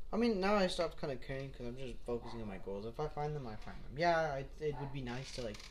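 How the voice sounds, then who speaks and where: A man speaks very fast at a fairly high pitch, with hardly any pauses. Audible room echo surrounds his voice. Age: 20s. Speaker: podcast co-host. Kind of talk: casual chat.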